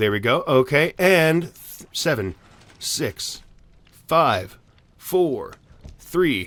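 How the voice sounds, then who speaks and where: Pausing long and often, a man uses vocal fry at a fairly high pitch with very wide pitch swings. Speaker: Minecraft YouTuber. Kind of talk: tutorial. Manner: fast; animated.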